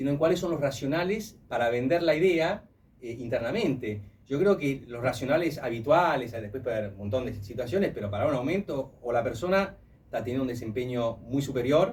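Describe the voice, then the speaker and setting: A man with a medium-pitched, somewhat breathy voice talks at a fairly quick pace with lively intonation. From Italy. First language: Italian (speaking Spanish). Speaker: human resources professional. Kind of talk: radio interview. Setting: radio studio.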